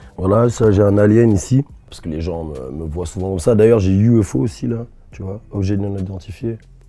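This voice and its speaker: Over noticeable background noise, a man with a fairly low pitch speaks at a fairly quick pace. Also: ordinary pitch variation, big swings in loudness. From Rennes, Brittany, France. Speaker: rapper. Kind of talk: interview answer. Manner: casual, warm.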